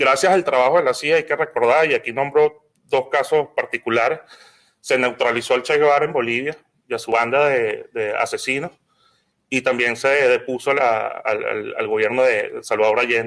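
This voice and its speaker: A man in a Venezuelan accent, fairly high in pitch, at a moderate pace with ordinary pitch variation. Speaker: lawyer and political activist. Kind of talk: symposium panel talk. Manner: halting, frequent repetitions.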